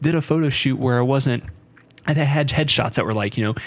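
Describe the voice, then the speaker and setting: A plain, everyday voice from a man, fairly high-pitched, with ordinary pitch movement and an American accent. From US South, North Carolina. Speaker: podcast host and runner. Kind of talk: casual chat.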